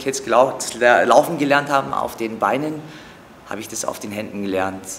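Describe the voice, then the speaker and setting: Amid noticeable background noise and audible room echo, a man talks with ordinary pitch variation. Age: 40s. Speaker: acrobatic dancer. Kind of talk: interview. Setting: training gym. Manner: hesitant with fillers.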